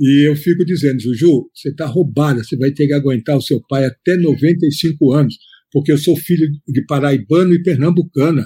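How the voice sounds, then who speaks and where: Dry and close with no echo, a man's somewhat breathy voice has a dark, mellow tone, a fairly high pitch and fairly even intonation at a moderate pace. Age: 70s. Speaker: veteran journalist. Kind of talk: interview.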